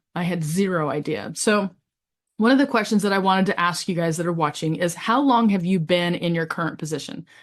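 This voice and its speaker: Against a quiet background, a woman with an unremarkable speaking voice talks fairly quickly in a fairly low pitch with lively intonation. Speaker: pastor and family therapist. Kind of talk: webinar panel talk.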